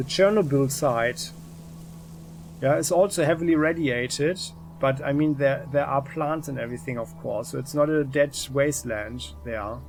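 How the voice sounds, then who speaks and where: Somewhat breathy, fairly high male voice at a moderate pace with ordinary pitch variation. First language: not English. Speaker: gaming YouTuber. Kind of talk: let's play game review commentary. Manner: halting, many fillers.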